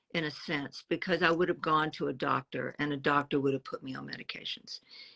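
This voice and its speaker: Her very deep, low pitch stays within fairly even intonation as the woman speaks. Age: 70s. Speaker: interviewee sharing health journey. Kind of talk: casual interview.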